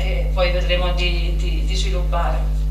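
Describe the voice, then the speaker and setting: A woman's very deep, low voice amid audible room echo and noticeable background noise. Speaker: school staff member introducing speaker. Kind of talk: event introduction. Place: hall.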